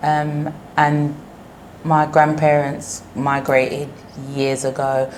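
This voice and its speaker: Speaking in a flat monotone with a British accent, a woman with a very deep, low pitch talks very slowly, leaving long, frequent pauses amid audible room echo. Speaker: business owner. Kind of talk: interview.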